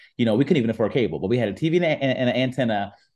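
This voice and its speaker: Medium in pitch and with ordinary pitch variation, a man talks in an American accent. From US Midwest, Warren, Ohio. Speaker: app founder and entertainment journalist. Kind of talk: interview.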